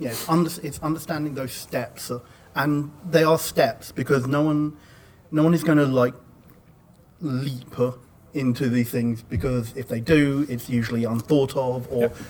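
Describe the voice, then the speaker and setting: With fairly even intonation and a moderate pace, this is an unremarkable speaking voice. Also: man, fairly high pitch for a man. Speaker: podcast network community manager. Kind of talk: panel discussion. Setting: live panel with audience.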